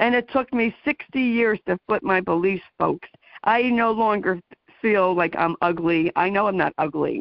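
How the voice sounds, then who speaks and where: A woman talks at a fairly slow pace in a plain, everyday voice, medium in pitch with lively intonation. Her loudness stays very even. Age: 60s. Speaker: radio talk show host. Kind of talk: interview.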